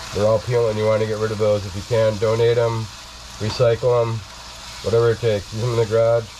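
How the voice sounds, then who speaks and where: Over noticeable background noise, the speaker races along at a very fast pace in a monotone, flat intonation. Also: man, medium pitch for a man. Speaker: home cooking channel host. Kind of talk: cooking tutorial. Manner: casual, chatty.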